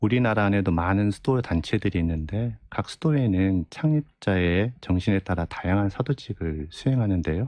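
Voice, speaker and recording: A man speaks with a fairly low pitch, lively intonation and very even loudness, with hardly any pauses. The background is quiet and the sound is dry with no echo. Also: moderate pace. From rural South Korea. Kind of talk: radio interview. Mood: calm, earnest explanation. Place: studio. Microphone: studio mic.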